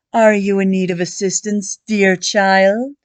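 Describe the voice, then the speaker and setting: A woman uses a put-on character voice at medium pitch with fairly even intonation and a fairly slow pace. The sound is dry and close, with no echo. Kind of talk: genteel period speech. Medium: read story. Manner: smooth, courteous, formal.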